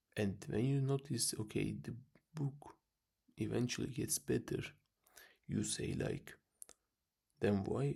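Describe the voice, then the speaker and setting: Whispered words carry a trace of vocal fry. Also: man. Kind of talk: casual talk to camera.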